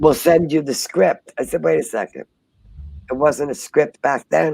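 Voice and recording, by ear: A woman talks at a fairly slow pace in a low pitch with a dark, mellow tone. Her voice has vocal fry and ordinary pitch variation.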